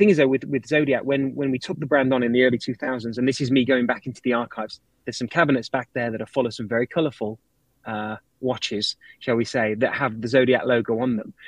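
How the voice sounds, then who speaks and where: Speaking at a very fast pace with a British accent, a man with a medium pitch for a man keeps a fairly even intonation in a dry, close sound with no echo. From Britain. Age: 40s. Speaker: watch brand director. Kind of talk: interview. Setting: office, live stream.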